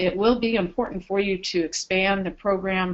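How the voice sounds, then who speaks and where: A woman with a normal speaking voice, medium pitch, moderate pace and fairly even intonation. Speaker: program trainer presenting to care facilities. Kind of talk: webinar presentation. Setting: webinar broadcast.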